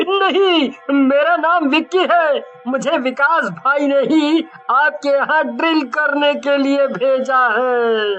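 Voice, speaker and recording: Amid clear background noise, a cartoonish character voice drawls out words at a very slow pace. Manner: laughs gleefully and mockingly.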